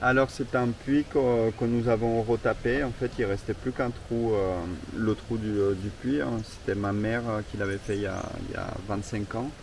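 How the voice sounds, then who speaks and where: Over noticeable background noise, a man speaks at a fairly slow pace with medium pitch and fairly even intonation. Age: 30s. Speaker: campsite owner. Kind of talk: interview. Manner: halting.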